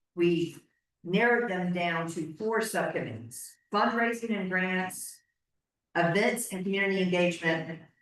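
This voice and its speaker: Recorded with audible room echo, a woman talks at a moderate pace in a medium pitch with ordinary pitch variation. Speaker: board chair. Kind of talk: board meeting.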